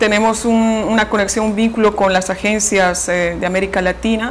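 A woman talks at a moderate pace with fairly even intonation over light background noise. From Bolivia. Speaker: radio station director. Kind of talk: interview answer. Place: office. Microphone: lapel.

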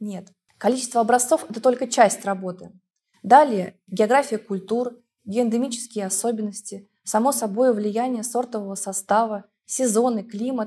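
Somewhat breathy and dark and mellow in tone, a woman speaks at a fairly high pitch with fairly even intonation. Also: moderate pace. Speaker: laboratory head. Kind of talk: expert interview. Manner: formal. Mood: calm, professional. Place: studio.

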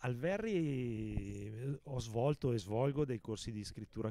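A man's voice has a dark, mellow tone, recorded dry with no echo. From Lodi, Lombardy, northern Italy; Lombardy, Italy. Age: 50s. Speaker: author and publisher. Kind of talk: interview. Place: garden. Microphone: handheld.

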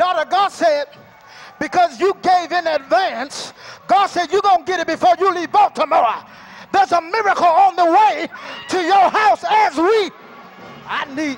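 With light background noise, a man speaks at a moderate pace in an extremely high pitch with ordinary pitch variation and long, frequent pauses. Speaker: preacher. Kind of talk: sermon. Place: hall. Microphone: handheld.

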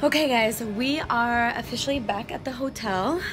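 The speech moves at a fairly slow pace over clear music in the background. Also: woman. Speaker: travel vlogger. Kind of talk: casual vlog chat. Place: beach. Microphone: phone near.

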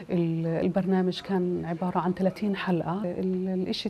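Over light background noise, a woman with a Palestinian accent speaks in a dark, mellow, somewhat breathy tone. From Palestine (Gaza, Ramallah). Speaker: film director and producer. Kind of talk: interview. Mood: calm, earnest.

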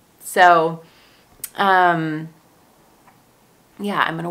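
A woman is speaking here. Her pitch is fairly low for a woman, with ordinary pitch variation. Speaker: vlogger. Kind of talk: casual vlog chat. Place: home room. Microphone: phone near.

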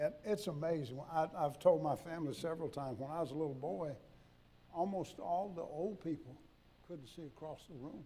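A man speaks at a fairly quick pace with a fairly high pitch and a dark, mellow tone. His loudness swings widely. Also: ordinary pitch variation. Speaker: preacher. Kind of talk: sermon. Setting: church. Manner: folksy, humorous, conversational. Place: church. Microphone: podium.

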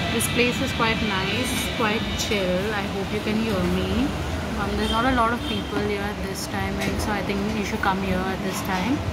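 A woman talks at a moderate pace, with loud background noise around her. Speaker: vlogger. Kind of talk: casual vlog chat. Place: cafe. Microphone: phone near.

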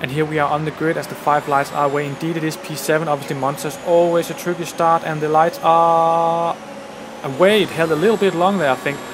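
Fairly quick and fairly even in intonation, a man's fairly high voice plays against noticeable background noise. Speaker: gaming YouTuber. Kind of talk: gameplay commentary. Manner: halting.

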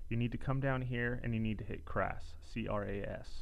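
The man talks with ordinary pitch variation. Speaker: tutorial narrator. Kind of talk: tutorial.

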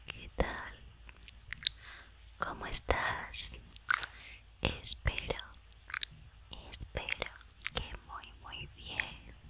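Whispering at a very slow pace, a woman speaks with long, frequent pauses. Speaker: ASMR creator. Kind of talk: ASMR whispered talk to camera. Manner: whispered, soft-spoken, repetitive trigger words. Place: home room.

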